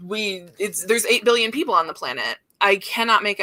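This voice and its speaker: Loud and bright, a woman speaks sharply at a medium pitch and a fairly quick pace. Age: 30s. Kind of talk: casual chat.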